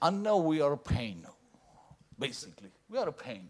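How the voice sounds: Loud and fairly high-pitched, a man talks with big pitch swings and a slightly husky edge. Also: moderate pace.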